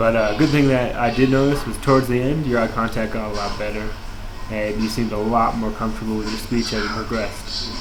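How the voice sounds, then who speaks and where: With an American accent, a man talks at a very fast pace and fairly even intonation. Room echo and noticeable background noise can be heard. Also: medium pitch for a man. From Florida. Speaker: student. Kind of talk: peer review monologue. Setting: at work. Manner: filler-heavy, um and uh.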